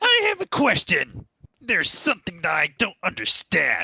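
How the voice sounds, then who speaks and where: At a moderate pace, the words come out in a put-on character voice. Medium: machinima. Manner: excitable, blunt.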